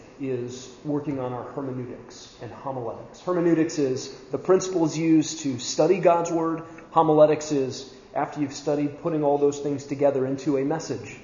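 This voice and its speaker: Fairly high-pitched man at a moderate pace, with noticeable background noise and audible room echo. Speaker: church leadership trainer. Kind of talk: talk to a men's training group. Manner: loud, sounds angry when raised.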